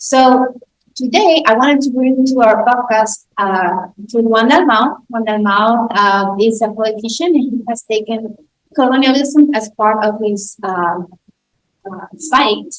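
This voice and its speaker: This woman has a Spanish accent and a fairly high pitch. She talks at a fairly slow pace with ordinary pitch variation. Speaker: podcast host. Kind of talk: interview. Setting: live recording with audience.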